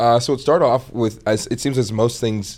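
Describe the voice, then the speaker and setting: With ordinary pitch variation, an ordinary speaking voice talks at a fairly quick pace. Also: man. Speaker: comedic content creator. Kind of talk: casual chat.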